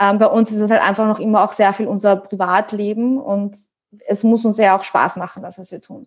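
This woman has an ordinary speaking voice at medium pitch, moving at a fairly quick pace. Her intonation is fairly even, while her loudness swings widely. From Austria. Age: 30s. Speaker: online fitness coach. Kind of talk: casual chat.

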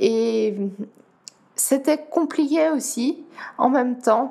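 A woman with a Dutch accent and a high pitch speaks very slowly with ordinary pitch variation, while noticeable background noise is present. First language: Dutch (speaking French). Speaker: para-athlete. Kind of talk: interview. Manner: halting.

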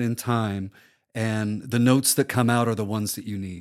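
A man with an American accent speaks with fairly even intonation on a very clean recording with a silent background. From US Midwest, Omaha, Nebraska. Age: 50s. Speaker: public radio host and producer. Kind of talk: casual interview conversation.

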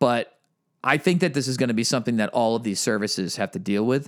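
A man with an American accent speaks at a fairly quick pace and medium pitch in an ordinary speaking voice. The recording is very clean, with a silent background. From Massachusetts. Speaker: podcast co-host. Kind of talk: casual chat.

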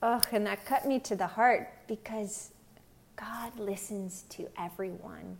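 With an American accent, a woman speaks at medium pitch and a fairly slow pace, her intonation fairly even and marked by vocal fry. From Pennsylvania. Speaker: lay preacher. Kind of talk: gospel reflection.

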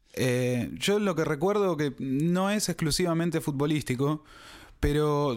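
A man speaks at a fairly slow pace with ordinary pitch variation. He has an unremarkable speaking voice, and the recording is very clean with a silent background. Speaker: podcast co-host. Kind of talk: casual chat.

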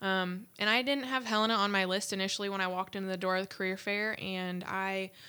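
Speaking at a fairly quick pace, a woman with a medium pitch and a bright, sharp tone keeps her intonation fairly even on a very clean recording with a silent background. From US Midwest, rural northwest Ohio. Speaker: college student. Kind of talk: interview.

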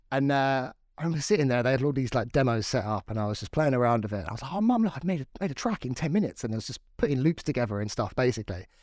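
In a southern English accent, a man talks at a very fast pace with hardly any pauses, his medium-pitched voice lively in intonation on a very clean recording with a silent background. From Crawley, West Sussex, southern England. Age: 30s. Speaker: drum and bass producer and DJ. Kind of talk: casual chat. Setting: home studio.

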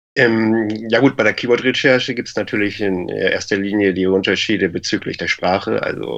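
A man speaks at a moderate pace with vocal fry. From Lower Saxony, Germany. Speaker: e-commerce entrepreneur. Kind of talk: casual interview.

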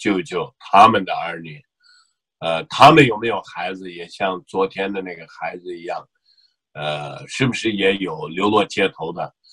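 A man's very deep, low voice with a Xinjiang accent, bright and sharp in tone, lively in intonation, at a fairly slow pace, in dry, close sound with no echo. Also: big swings in loudness. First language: Uyghur (speaking Chinese). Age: 50s. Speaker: activist, association chairman. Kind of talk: interview. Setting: remote call. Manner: hesitant, many fillers.

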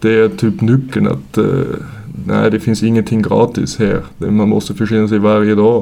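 With an Austrian accent, a man talks at a moderate pace in a fairly low pitch. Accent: Austrian German accent in Swedish. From Austria, Vienna. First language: German (speaking Swedish). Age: 30s. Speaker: junior ice hockey coach. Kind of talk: casual interview. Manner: halting, many fillers.

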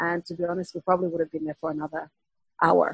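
The speaker is a woman. Her voice comes across somewhat breathy. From Finland. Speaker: political activist. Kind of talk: casual chat. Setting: video call.

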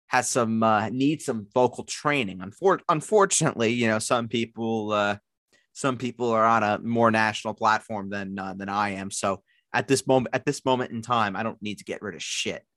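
Bright and sharp in tone, a man with a New York accent talks at medium pitch and a moderate pace with ordinary pitch variation, the sound dry and close with no echo over a quiet background. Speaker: fantasy football podcast co-host. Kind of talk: casual chat. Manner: repeats words, stammering restarts.

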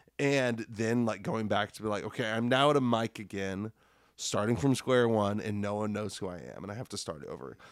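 A man with an American accent and an ordinary speaking voice, fairly low in pitch, at a fairly quick pace with ordinary pitch variation, on a very clean recording with a silent background. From Nebraska, Lincoln. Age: 30s. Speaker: comedian and middle school teacher. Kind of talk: casual chat. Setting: at home.

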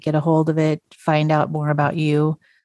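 Over a silent background in a very clean recording, a woman with an American accent speaks in a fairly low pitch with a dark, mellow tone, the sound dry and close with no echo. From North Idaho, US. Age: 50s. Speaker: podcast host, former pastor. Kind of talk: interview conversation.

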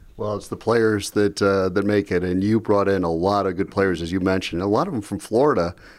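A man speaks quickly at a fairly low pitch, with fairly even intonation, in a plain, everyday voice. The recording is very clean, with a silent background. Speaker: athletics podcast host. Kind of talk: interview.

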